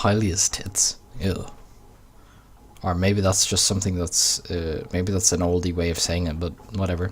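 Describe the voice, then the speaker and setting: A man with a very deep, low pitch and an Irish accent, somewhat breathy, flat and monotone, at a moderate pace with long, frequent pauses. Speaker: gaming YouTuber. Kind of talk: let's play commentary with reading aloud. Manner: slurred.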